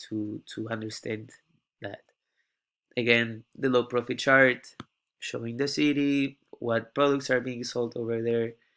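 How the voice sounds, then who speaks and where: Flat, monotone delivery in a non-native accent, broken by long, frequent pauses. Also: man. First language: not English. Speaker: university student. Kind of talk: class presentation tutorial. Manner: halting.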